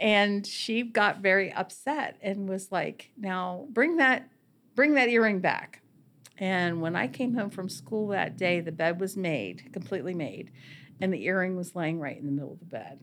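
A woman uses a normal speaking voice at medium pitch, speaking at a moderate pace with lively intonation. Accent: American. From Warwood, Wheeling, West Virginia. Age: 50s. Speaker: listener telling ghost stories. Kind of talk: storytelling.

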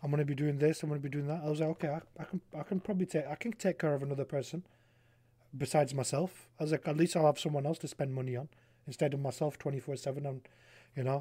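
Over a very clean recording with a silent background, a man speaks very fast in a fairly high pitch, his tone dark and mellow and somewhat breathy, his intonation fairly even, the sound dry and close with no echo. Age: 20s. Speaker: streamer. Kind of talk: casual chat.

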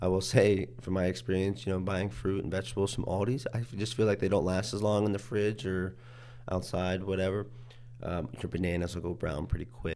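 Speaking at a fairly quick pace with an Ohio accent, the voice has a dark, mellow tone, vocal fry and lively intonation. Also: man, very deep, low pitch for a man. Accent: Midwestern American (Ohio). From Ohio, Youngstown. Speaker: university student. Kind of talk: casual interview.

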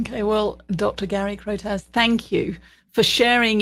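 On a very clean recording with a silent background, a woman with a British accent talks fairly slowly at a medium pitch. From Britain. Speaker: podcast host and leadership consultant. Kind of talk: interview conversation.

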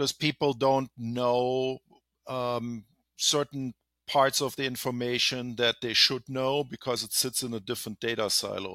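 Recorded very cleanly over a silent background, a man with a German accent sounds dry and close, with no echo. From Germany. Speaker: healthcare IT executive. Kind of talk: interview.

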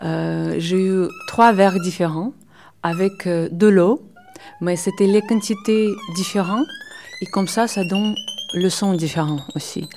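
Noticeable background noise sits behind a woman speaking at a very slow pace. Her pauses are long and frequent. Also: medium pitch for a woman, ordinary pitch variation. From Belarus. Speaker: mandolinist. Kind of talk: interview monologue. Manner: halting.

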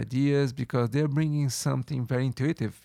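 A man talks with a Brazilian accent and fairly even intonation. The sound is dry and close, with no echo. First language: Portuguese. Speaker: photographer. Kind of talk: interview. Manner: halting.

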